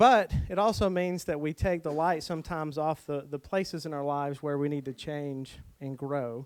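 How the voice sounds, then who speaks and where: Using an ordinary speaking voice, a man talks at a moderate pace with fairly high pitch, ordinary pitch variation and hardly any pauses. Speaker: pastor teaching a preaching workshop. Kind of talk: workshop talk on preaching.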